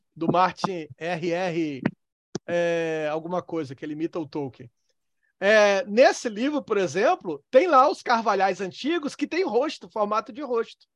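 A man's high-pitched voice at a fairly slow pace, with very wide pitch swings and a dry, close sound with no echo. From Northeast Brazil. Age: 40s. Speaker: theology lecturer. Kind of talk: online lecture. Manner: halting.

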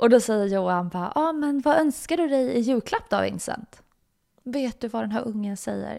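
A woman speaks in a fairly high voice with a dark, mellow tone. Her intonation is lively and her pace moderate. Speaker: podcast host. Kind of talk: personal storytelling monologue. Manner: casual, filler-heavy.

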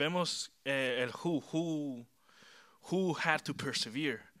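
Ordinary pitch variation at a very slow pace. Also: man. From Chile. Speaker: youth preacher. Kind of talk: sermon. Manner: mixes Spanish and English.

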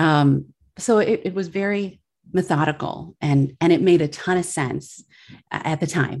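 In an ordinary speaking voice, a woman with an American accent talks at a fairly slow pace, her pitch fairly low with ordinary variation. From Milwaukee, Wisconsin. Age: 40s. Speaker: podcaster and former attorney. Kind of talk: casual interview.

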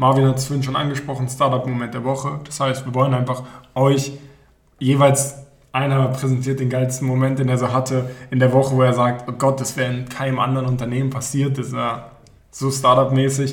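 With audible room echo around him, a man talks at a fairly quick pace and medium pitch in a monotone, flat intonation. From Berlin. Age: 20s. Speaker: student podcast co-host, startup project manager. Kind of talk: casual chat.

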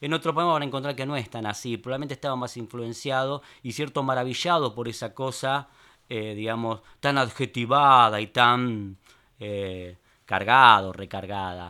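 Using a normal speaking voice, a man talks at a moderate pace and medium pitch, his loudness swinging widely and his pitch varying in an ordinary way. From Buenos Aires, Argentina (Palermo Viejo). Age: 50s. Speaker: writer and poet. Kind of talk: interview.

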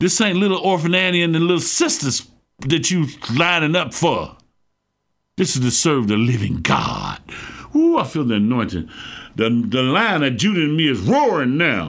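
A man with a gravelly, fairly bright voice at a fairly high pitch speaks at a moderate pace with big pitch swings, on a very clean recording with a silent background.

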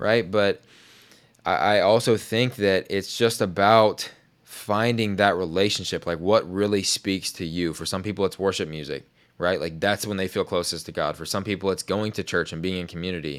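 A man with a plain, everyday voice speaks at a moderate pace, his pitch fairly low with ordinary variation. The recording is very clean, with a silent background. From Oklahoma, small town. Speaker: podcast host. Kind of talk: casual chat.

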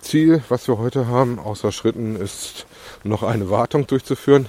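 At a moderate pace and medium pitch, a man speaks with ordinary pitch variation in a dry, close sound with no echo. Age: 40s. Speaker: podcaster documenting weight loss. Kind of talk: casual monologue. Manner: hesitant with filler sounds.

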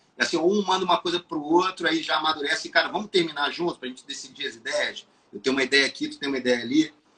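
Bright and sharp in tone, a man with a fairly high pitch and ordinary pitch variation rushes at a very fast pace with hardly any pauses and big swings in loudness. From Brazil, city-raised. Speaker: musician and songwriter. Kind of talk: casual interview chat.

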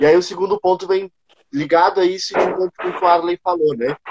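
The sound is dry and close, with no echo. Delivery comes at a moderate pace with ordinary pitch variation. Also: man. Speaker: city council candidate. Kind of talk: casual online panel chat. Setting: video call live stream. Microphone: unstable internet connection.

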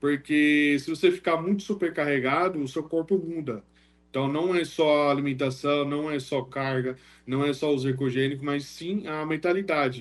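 With a normal speaking voice and fairly even intonation, a man delivers his words at a moderate pace in a fairly high pitch. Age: 20s. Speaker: wheelchair bodybuilder. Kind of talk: casual chat.

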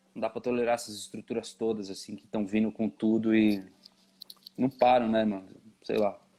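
With monotone, flat intonation, a man speaks amid long, frequent pauses while his loudness swings widely. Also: medium pitch for a man, moderate pace. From São Paulo East Zone, Brazil. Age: 30s. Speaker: painter and sculptor. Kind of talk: casual interview. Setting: video call.

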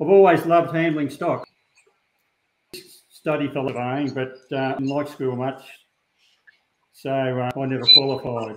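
Fairly high-pitched man with an Australian accent, fairly slow and fairly even, with long, frequent pauses. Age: 70s. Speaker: shearer and stock dog breeder. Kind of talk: interview. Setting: video call. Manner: halting.

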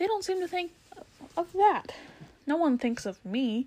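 A woman's put-on character voice, extremely high in pitch yet dark and mellow in tone, with big pitch swings and a fairly slow pace.

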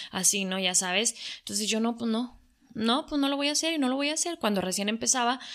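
Lively intonation marks this woman's speech. She talks at a very fast pace. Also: very clean recording, silent background. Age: 40s. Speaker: social media influencer. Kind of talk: casual interview chat.

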